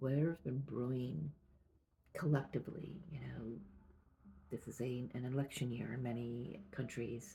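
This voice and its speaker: Soft-spoken and at a moderate pace, the speaker leaves long, frequent pauses. Music plays in the background. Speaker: tarot reader. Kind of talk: intuitive tarot reading. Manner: halting.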